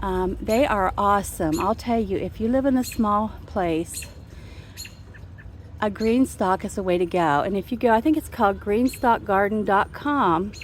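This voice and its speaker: A woman talks at a moderate pace with medium pitch and ordinary pitch variation. It is a plain, everyday voice. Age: 60s. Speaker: home gardener vlogger. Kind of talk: casual garden tour video. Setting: outdoors in garden. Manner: relaxed conversational.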